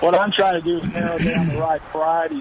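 Noticeable background noise sits behind a man with an American accent and ordinary pitch variation. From Texas Gulf Coast (Freeport). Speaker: caller. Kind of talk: call-in question.

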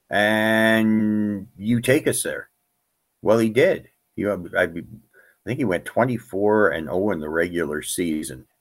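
A man's fairly low, lively-toned voice at a fairly slow pace with long, frequent pauses, on a very clean recording with a silent background. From Canada. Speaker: fantasy baseball analyst. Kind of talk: casual interview. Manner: halting, repeats words.

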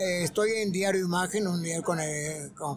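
A man with fairly even intonation, audible room echo and music in the background. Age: 80s+. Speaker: entertainment journalist. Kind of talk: interview. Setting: live broadcast at a conference.

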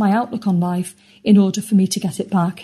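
A somewhat breathy voice with a British accent and a dark, mellow tone. The pace is moderate. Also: woman. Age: 50s. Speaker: podcast community member. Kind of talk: testimony. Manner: scripted reading.

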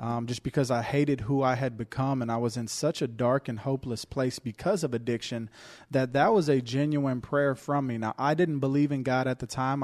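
An unremarkable speaking voice moves at a fairly quick pace with fairly even intonation, in a dry, close sound with no echo. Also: man. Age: 30s. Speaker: podcast co-host. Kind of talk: casual chat. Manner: joking.

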